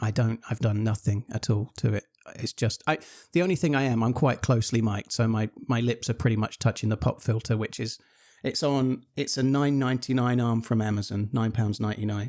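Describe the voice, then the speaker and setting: In an English accent, a man speaks fairly quickly with fairly even intonation, the sound dry and close with no echo. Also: medium pitch for a man. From England. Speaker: streamer. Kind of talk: casual chat. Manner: fluent, moderate pace. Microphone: close USB condenser mic with pop filter.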